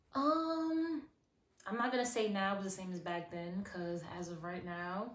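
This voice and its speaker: Over noticeable background noise, a woman talks with a New York accent. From Brooklyn, New York (Crown Heights), born in Haiti. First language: Haitian Creole. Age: 20s. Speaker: singer. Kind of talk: casual interview. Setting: outdoors.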